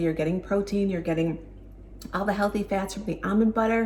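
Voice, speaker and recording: A woman speaks with a Buffalo accent. Her tone is animated. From Buffalo, New York, US. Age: 50s. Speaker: lifestyle vlogger. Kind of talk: casual vlog tutorial. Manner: chatty, animated.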